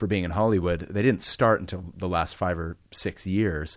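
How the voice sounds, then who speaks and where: A man with an American accent talks at a moderate pace in an unremarkable speaking voice, with ordinary pitch variation against a quiet background. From US West Coast, San Francisco Bay Area. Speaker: pastor. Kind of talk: interview testimony.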